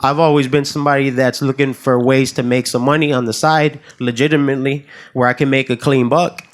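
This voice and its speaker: Speaking at a fairly quick pace with an American accent, a man uses an ordinary speaking voice, fairly high in pitch, with fairly even intonation and very even loudness. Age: 30s. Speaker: realtor. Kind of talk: casual chat.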